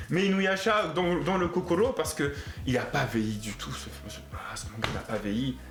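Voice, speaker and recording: Speaking at a moderate pace with an animated tone, a man with a fairly high voice swings his pitch very widely, while audible room echo and noticeable background noise fill the recording. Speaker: anime youtuber. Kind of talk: casual video commentary.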